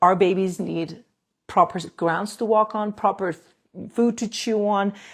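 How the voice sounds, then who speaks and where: In a very clean recording with a silent background, a woman with a non-native accent and a medium pitch speaks at a moderate pace with fairly even intonation. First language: not English. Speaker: dentist doing airway and jaw treatment. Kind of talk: live stream talk to viewers. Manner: halting, with restarts and fillers.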